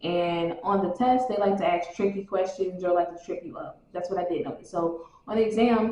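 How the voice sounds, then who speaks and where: Over noticeable background noise, a woman talks at a moderate pace with hardly any pauses. Her medium pitch has ordinary variation, while her loudness swings widely. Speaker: fitness trainer, exam study vlogger. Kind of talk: casual study-tips vlog.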